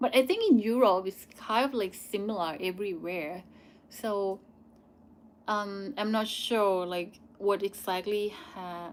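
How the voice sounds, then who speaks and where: A woman with a Thai accent speaks at a fairly slow pace and medium pitch, with ordinary pitch variation. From Thailand. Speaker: YouTuber. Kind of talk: live Q&A. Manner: halting.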